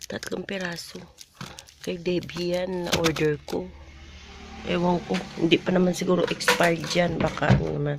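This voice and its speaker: Fairly slow and monotone, a woman's fairly low voice comes with long, frequent pauses over noticeable background noise. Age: 50s. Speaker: vlogger. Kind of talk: casual vlog chat.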